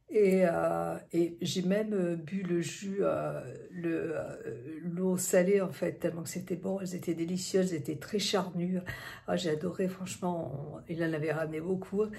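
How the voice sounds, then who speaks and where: A woman's fairly low voice at a fairly slow pace, with fairly even intonation, audible room echo and noticeable background noise. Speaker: vlogger. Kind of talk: vlog. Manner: hesitant, many fillers; quiet.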